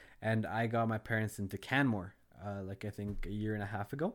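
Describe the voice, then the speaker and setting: Recorded very cleanly against a silent background, a man talks in an ordinary speaking voice with fairly low pitch, fairly even intonation and a moderate pace. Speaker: food industry worker and gardener. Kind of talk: casual chat.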